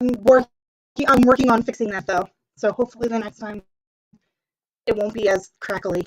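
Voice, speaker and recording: Dry and close with no echo, a woman's voice moves at a fairly quick pace with fairly even intonation, broken by long, frequent pauses. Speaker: book youtuber. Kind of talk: casual chat. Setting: livestream. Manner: fast. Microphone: crackly computer audio.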